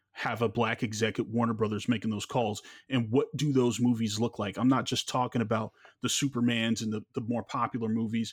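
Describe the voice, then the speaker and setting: A man with an American accent and medium pitch, monotone, flat intonation and a fairly quick pace, in a very clean recording with a silent background. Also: dry, close sound with no echo. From Los Angeles, South Central. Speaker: podcast host. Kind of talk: casual chat.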